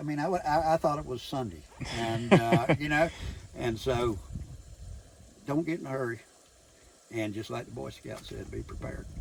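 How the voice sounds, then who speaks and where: Vocal fry in a man's voice of medium pitch, moving at a moderate pace. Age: 60s. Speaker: retired construction contractor, full-time van dweller. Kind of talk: interview answer. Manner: casual, folksy, halting with fillers.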